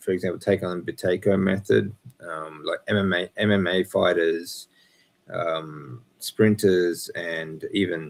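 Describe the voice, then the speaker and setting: A man's very deep, low voice in an Australian accent, with fairly even intonation at a fairly slow pace. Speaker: breathwork and health coach. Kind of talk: live Q&A stream. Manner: halting with fillers.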